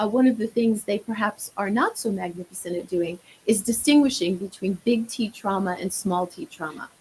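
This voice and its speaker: Her pitch medium and its variation ordinary, a woman speaks at a moderate pace with hardly any pauses. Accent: New York. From New York. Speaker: marriage therapist. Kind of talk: podcast interview.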